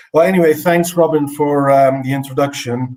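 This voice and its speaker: This is a man's voice. The pitch varies in an ordinary way. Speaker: horticulture expert. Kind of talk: conference presentation.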